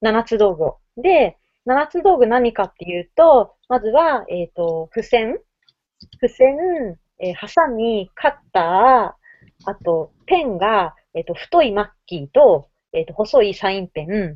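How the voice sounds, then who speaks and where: Delivered at a fairly slow pace, the speech shows very wide pitch swings and big shifts in loudness. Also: woman, fairly high pitch for a woman. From Fukuoka, Japan. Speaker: maker community organizer. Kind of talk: casual chat. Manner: halting.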